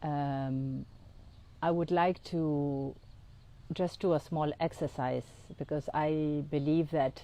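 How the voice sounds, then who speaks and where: A woman's very deep, low voice with a dark, mellow tone and a non-native accent, monotone and flat, at a very slow pace with long, frequent pauses. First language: not English. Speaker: integrative oncologist and astrologer. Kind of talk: podcast monologue, guided exercise. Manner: halting, many fillers.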